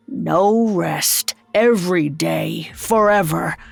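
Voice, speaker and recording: A raspy, solemn, put-on character voice at a very slow pace, with faint music in the background. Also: woman, fairly low pitch for a woman. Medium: read story. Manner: grim, solemn.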